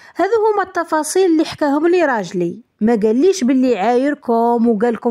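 An Algerian accent at a moderate pace with very wide pitch swings. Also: woman. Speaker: storytelling YouTuber. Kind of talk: reading aloud a first-person story.

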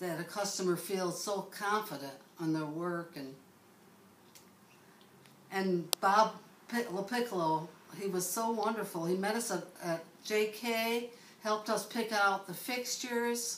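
Recorded with audible room echo and light background noise, a woman talks at a fairly slow pace with long, frequent pauses. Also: ordinary pitch variation. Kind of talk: interview answer. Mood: warm, enthusiastic. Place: home room. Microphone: camera far.

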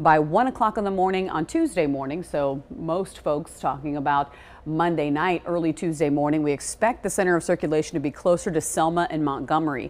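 A woman speaks at a fairly quick pace in a very deep, low pitch, with hardly any pauses. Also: ordinary pitch variation. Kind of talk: weather forecast presentation. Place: studio. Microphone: lapel.

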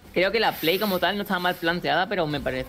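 Music plays in the background as a woman talks. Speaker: esports caster, analyst. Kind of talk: live esports commentary, analytical color. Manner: measured, conversational.

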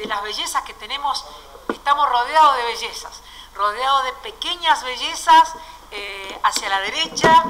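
A woman speaks at a fairly slow pace in a raised, projected voice with big swings in loudness. Light background noise can be heard. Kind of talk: press conference announcement. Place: hall. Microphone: podium.

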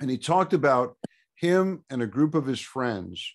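A man is talking with lively intonation. Behind him, things stay quiet. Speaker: radio guest. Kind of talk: remote club talk, storytelling. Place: home room. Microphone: studio mic.

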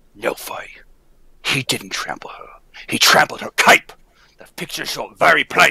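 A raspy, put-on character voice at a moderate pace, broken by long, frequent pauses. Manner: accusing, grief-stricken.

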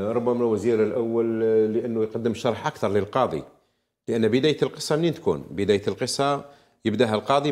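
A very clean recording with a silent background, carrying ordinary pitch variation. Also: man. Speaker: legal analyst. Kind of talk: TV interview analysis. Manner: halting.

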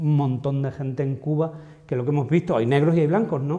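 A man talks with a fairly high pitch and a somewhat breathy sound. His intonation stays fairly even against a quiet background. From Extremadura, Spain. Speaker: pharmacogenetics researcher. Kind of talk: interview. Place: hall. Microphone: lapel.

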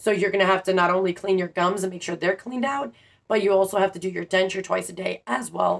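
A woman's voice with vocal fry and ordinary pitch variation, set against a quiet background. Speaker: denture wearer vlogger. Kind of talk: casual vlog advice. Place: home room. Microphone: phone near.

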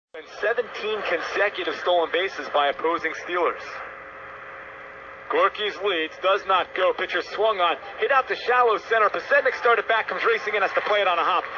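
A man with a high voice and ordinary pitch variation speaks at a fairly quick pace over noticeable background noise. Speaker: baseball play-by-play announcer. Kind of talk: live radio sports play-by-play. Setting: radio broadcast. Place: booth.

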